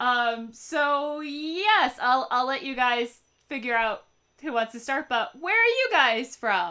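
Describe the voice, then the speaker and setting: A raised, projected voice, bright and sharp, with lively intonation at a very slow pace. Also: woman, high pitch for a woman. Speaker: podcast host. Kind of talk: casual chat. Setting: video call.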